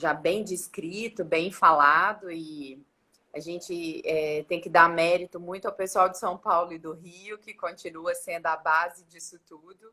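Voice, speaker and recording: A woman with a Minas Gerais accent speaks at a fairly slow pace in a fairly low pitch with a bright, sharp tone. Her intonation is fairly even while her loudness swings widely. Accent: Minas Gerais accent, still rooted. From Minas Gerais, Brazil (Belo Horizonte). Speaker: dentist. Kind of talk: interview on a live stream. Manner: halting, with many false starts.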